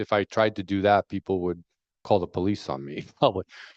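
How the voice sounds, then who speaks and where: A man speaks with a New York accent. The background is quiet. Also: dry, close sound with no echo. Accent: New York American English. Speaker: fisheries researcher. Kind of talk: panel discussion. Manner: slowed-down deliberate pace.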